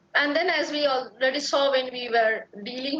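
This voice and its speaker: A woman is heard speaking over noticeable background noise. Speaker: lecturer. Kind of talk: lecture.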